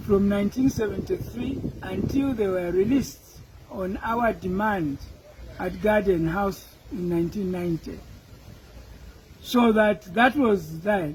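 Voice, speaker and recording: A man's high-pitched voice at a fairly slow pace, broken by long, frequent pauses, with noticeable background noise. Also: ordinary pitch variation. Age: old. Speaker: politician. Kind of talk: interview answer.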